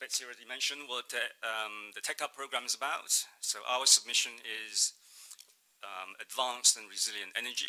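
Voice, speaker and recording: A man speaks in a Mandarin accent, his loudness swinging widely. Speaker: state trade representative. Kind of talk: conference presentation. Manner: hesitant, many fillers.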